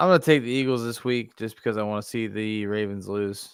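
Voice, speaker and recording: A man with a Pittsburgh accent at a very fast pace, fairly low in pitch with fairly even intonation, in a very clean recording with a silent background. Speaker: sports podcast host. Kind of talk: casual sports chat.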